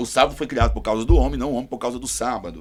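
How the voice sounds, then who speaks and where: With vocal fry, a man speaks at a medium pitch. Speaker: pastor. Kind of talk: panel discussion.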